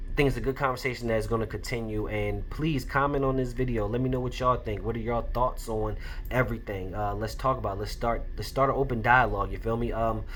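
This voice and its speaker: A man at a very fast pace with hardly any pauses, plus audible room echo. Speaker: podcast host and indie comic creator. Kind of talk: casual solo commentary.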